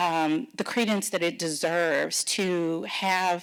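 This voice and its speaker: This woman's voice sits fairly low for a woman, with ordinary pitch variation. The recording is very clean, with a silent background. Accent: American. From Texas. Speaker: pharma policy executive. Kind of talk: fireside chat interview.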